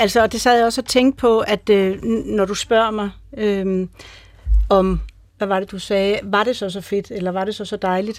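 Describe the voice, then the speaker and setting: In a very clean recording with a silent background, a woman at a medium pitch speaks with monotone, flat intonation. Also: moderate pace. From Greenland. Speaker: motherhood expert. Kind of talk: radio panel discussion.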